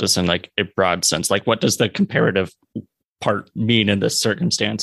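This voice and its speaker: A man talks with vocal fry in a dry, close recording that has no echo. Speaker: podcast interviewer. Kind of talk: casual interview conversation.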